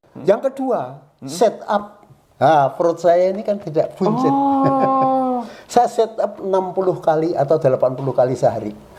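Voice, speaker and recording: Noticeable background noise sits behind a high-pitched man speaking at a moderate pace. His pitch swings very widely and his loudness varies a lot. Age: 80s+. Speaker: retired electrical engineering lecturer and university rector. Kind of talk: interview answer. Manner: firm.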